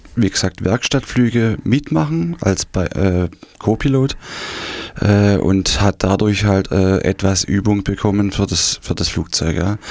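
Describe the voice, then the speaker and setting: A man speaks at a very slow pace in a fairly low pitch. His loudness stays very even, and his pitch varies in an ordinary way. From East Germany, Saxony (Dresden region). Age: 50s. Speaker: former GDR refugee. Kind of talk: interview testimony. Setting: radio studio. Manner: hesitant, many fillers.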